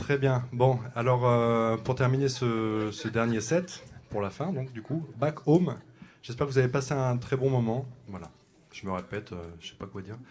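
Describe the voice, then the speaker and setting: A man at a medium pitch with ordinary pitch variation and big swings in loudness, at a fairly slow pace, amid audible room echo. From Champagne-Ardenne, France. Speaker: jazz saxophonist. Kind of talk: on-stage announcements at a concert. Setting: jazz club stage with live audience. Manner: halting, many hesitations.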